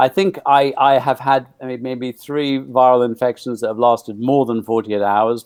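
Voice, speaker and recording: At a moderate pace, a man speaks in a normal speaking voice with a medium pitch. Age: 60s. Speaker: nutrition expert. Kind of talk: interview.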